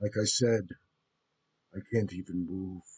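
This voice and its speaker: At a fairly slow pace, a man puts on a character voice with a fairly low pitch. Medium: actual play. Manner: haughty, menacing.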